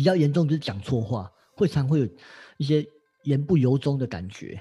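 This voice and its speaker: Fairly high in pitch for a man, his voice has a dark, mellow tone and is somewhat breathy. He speaks at a moderate pace with lively intonation. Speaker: astrology teacher. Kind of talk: casual chat.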